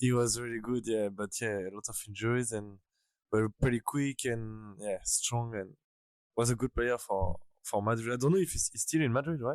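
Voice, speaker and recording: With a French accent, a man speaks at a moderate pace and a medium pitch, using ordinary pitch variation. The recording is very clean, with a silent background and a dry, close sound with no echo. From France, Normandy (Rouen area). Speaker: podcast guest, former youth footballer. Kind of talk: casual interview chat.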